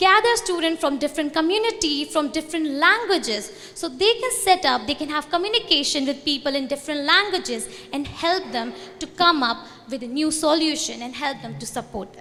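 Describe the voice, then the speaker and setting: Speaking in an Indian accent over noticeable background noise, a woman with a high pitch uses a raised, projected voice at a fairly quick pace, with very wide pitch swings and big swings in loudness. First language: Hindi. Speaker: student organization representative. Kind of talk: conference talk.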